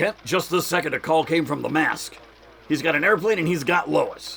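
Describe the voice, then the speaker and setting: In a put-on character voice, the speaker sounds raspy, keeping a very even loudness at a moderate pace. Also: man, high pitch for a man. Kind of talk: 1940s radio acting. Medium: audio drama. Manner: excitable, gruff.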